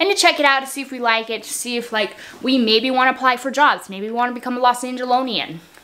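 A raised, projected female voice moving at a fairly quick pace. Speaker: vlogger. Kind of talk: casual vlog chat. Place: home room. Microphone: phone near.

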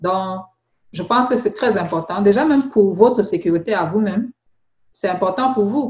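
This woman's voice sits at a medium pitch and is somewhat breathy. Her pitch varies normally, broken by long, frequent pauses. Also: moderate pace. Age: 40s. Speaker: beauty product seller and skin consultant. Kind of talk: phone consultation. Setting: phone call.

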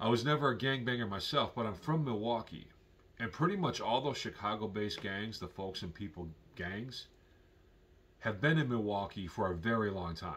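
A man talks at a moderate pace, his pitch fairly low. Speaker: vlogger. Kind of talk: casual vlog commentary. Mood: calm, opinionated.

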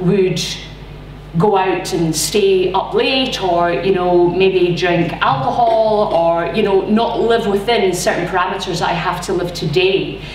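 Amid light background noise and audible room echo, a woman speaks at a very slow pace with ordinary pitch variation and very even loudness. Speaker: speaker. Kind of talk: personal talk to audience. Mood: earnest, personal. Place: hall. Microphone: camera far.

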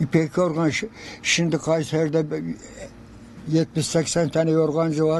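A man's dark, mellow tone at a very slow pace. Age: 80s+. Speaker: quilt maker. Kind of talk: interview answer.

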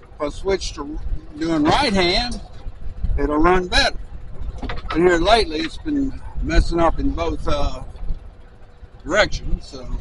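With long, frequent pauses, a man talks at a fairly slow pace over noticeable background noise. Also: dry sound with no echo. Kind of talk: casual vlog chat. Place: farm machine. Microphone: phone near.

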